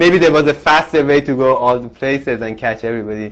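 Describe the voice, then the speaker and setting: Fairly quickly, a man talks in a non-native accent. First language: not English. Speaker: university instructor. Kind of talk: lecture. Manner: halting, with many restarts.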